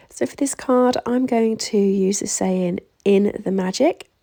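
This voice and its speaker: Here a woman talks in a British accent. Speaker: craft demonstrator. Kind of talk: tutorial voiceover. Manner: casual.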